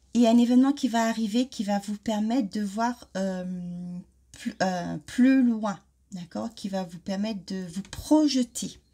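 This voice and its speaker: A woman's fairly high, somewhat breathy voice with a dark, mellow tone, fairly slow pace and ordinary pitch variation. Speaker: card reader. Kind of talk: oracle card reading. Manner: hesitant, many fillers.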